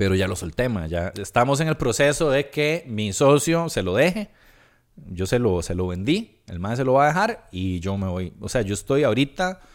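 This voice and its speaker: In a Costa Rican accent, a man speaks at a moderate pace with very wide pitch swings. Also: medium pitch for a man, very clean recording, silent background. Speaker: stand-up comedian and podcaster. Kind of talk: casual interview chat.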